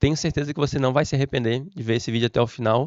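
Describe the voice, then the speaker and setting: Speaking at a very fast pace, a man keeps his intonation fairly even. His pitch sits at a medium level. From southern Brazil, Florianópolis, Santa Catarina. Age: 30s. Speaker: civil servant and exam prep teacher. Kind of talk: motivational talk to camera.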